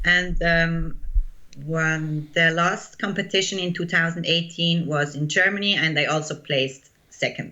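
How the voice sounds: With audible room echo, a woman speaks fairly slowly at a low pitch in a bright, sharp tone, her pitch varying in an ordinary way.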